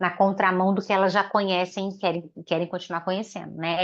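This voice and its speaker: Against a quiet background, a woman speaks in a medium-pitched, flat, monotone voice. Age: old. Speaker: spiritist speaker. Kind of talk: panel discussion answering questions. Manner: halting, many fillers.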